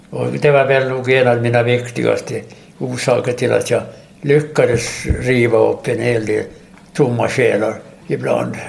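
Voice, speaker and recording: There is audible room echo and noticeable background noise as a man speaks at a fairly slow pace. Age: 80s+. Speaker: war veteran and retired teacher. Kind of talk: casual interview. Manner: halting.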